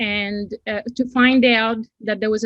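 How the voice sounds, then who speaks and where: Somewhat breathy and fairly high-pitched, a woman's voice comes through with a dry, close sound and no echo. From Costa Rica. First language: Spanish. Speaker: design and technology teacher. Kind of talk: interview.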